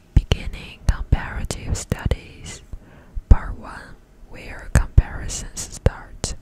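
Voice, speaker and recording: Amid noticeable background noise, a woman whispers at a very slow pace. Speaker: ASMR content creator. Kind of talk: whispered book reading, ASMR. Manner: whispered, soft.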